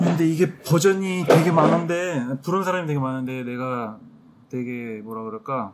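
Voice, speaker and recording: Against noticeable background noise and audible room echo, a man at a medium pitch talks at a moderate pace with lively intonation and big swings in loudness. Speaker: podcast co-host. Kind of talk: casual chat.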